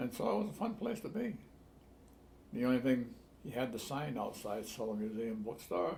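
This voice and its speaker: Somewhat breathy, a man with a Rhode Island accent speaks at a moderate pace with long, frequent pauses and audible room echo. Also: medium pitch for a man, ordinary pitch variation. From Newport, Rhode Island. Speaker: longtime resident. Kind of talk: oral history interview.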